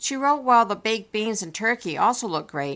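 The woman's medium-pitched voice swings very widely in pitch at a moderate pace. The recording is very clean, with a silent background. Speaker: home canning podcaster. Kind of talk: scripted narration.

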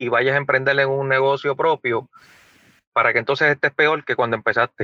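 A man talks at a fairly quick pace with a fairly high pitch. His tone is bright and sharp, and the sound is dry and close with no echo. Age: 40s. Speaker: podcast co-host. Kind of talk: casual chat.

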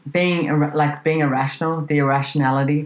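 Noticeable background noise surrounds a woman with an Australian accent. Her very deep, low voice keeps a moderate pace. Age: 40s. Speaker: podcast host. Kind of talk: casual chat. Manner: animated.

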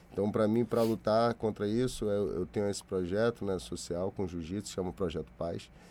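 A man with a dark, mellow tone and a fairly low pitch speaks at a moderate pace with hardly any pauses. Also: ordinary pitch variation. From Brazil, Salvador and Rio de Janeiro. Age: 40s. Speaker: graffiti artist. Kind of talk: interview.

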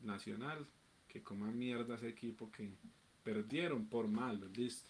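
An unremarkable speaking voice at a moderate pace. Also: man. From Colombia, Medellín (Antioquia). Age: 20s. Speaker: streamer. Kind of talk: casual chat.

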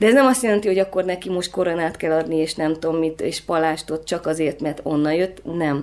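With an unremarkable speaking voice, a woman talks at a fairly quick pace with hardly any pauses, her pitch fairly low with ordinary variation. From Transylvania, then Budapest from age 11. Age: 30s. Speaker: photographer. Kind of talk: interview conversation.

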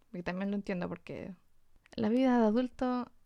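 Against a quiet background, a woman with a dark, mellow tone speaks at a fairly slow pace. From Chile, Antofagasta. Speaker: illustrator and podcast co-host. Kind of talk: casual chat.

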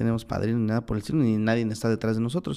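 A man talks at a medium pitch with a dark, mellow tone. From Oaxaca, Mexico (Mixteca). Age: 20s. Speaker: lawyer. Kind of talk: casual interview. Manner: halting, many fillers.

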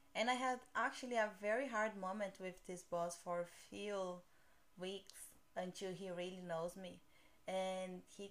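A woman with a Portuguese accent, medium pitch, a fairly slow pace and fairly even intonation. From Brazil. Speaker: podcast host. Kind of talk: casual chat.

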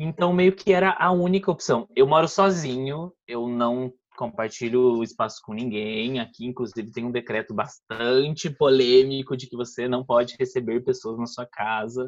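A man's unremarkable speaking voice at medium pitch, with a moderate pace, hardly any pauses, lively intonation and big swings in loudness. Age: 20s. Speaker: podcast guest. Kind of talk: casual chat.

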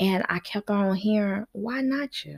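A woman speaks at a medium pitch in an animated, somewhat breathy voice with ordinary pitch variation. The sound is dry and close, with no echo. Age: 40s. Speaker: podcast host, former nanny. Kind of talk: solo casual monologue.

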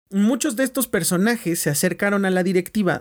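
A man with a Mexican accent and a high pitch, on a very clean recording with a silent background. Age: 20s. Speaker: podcast host. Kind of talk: casual solo podcast monologue. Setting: at home.

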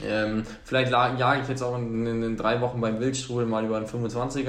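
Noticeable background noise and audible room echo fill the recording. A man speaks at medium pitch with monotone, flat intonation. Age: 20s. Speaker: trail runner, student. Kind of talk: interview.

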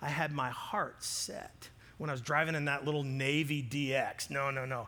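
A man's fairly high, bright and sharp voice with audible room echo. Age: 40s. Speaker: pastor. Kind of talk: sermon.

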